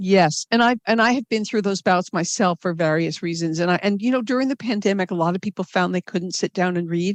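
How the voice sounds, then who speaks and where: In a normal speaking voice with an American accent, this speaker talks at a fairly quick pace with hardly any pauses, the sound dry and close with no echo against a quiet background. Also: woman, medium pitch for a woman, ordinary pitch variation. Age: 60s. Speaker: novelist. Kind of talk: interview.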